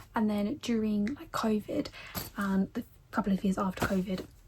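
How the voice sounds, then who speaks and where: With an English accent, a woman speaks at a fairly high pitch and a moderate pace, with ordinary pitch variation. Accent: common English. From England. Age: 20s. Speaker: book vlogger. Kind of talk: casual chat.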